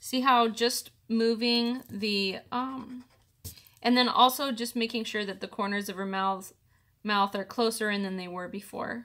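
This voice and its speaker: A woman with a fairly high pitch and a bright, sharp tone speaks at a fairly slow pace. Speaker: artist teaching drawing. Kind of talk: tutorial. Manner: casual, hesitant with fillers.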